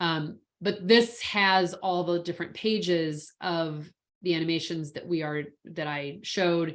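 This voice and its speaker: Against a quiet background, a woman speaks in an ordinary speaking voice. Her pitch is fairly low with ordinary variation. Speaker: InDesign trainer. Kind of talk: tutorial.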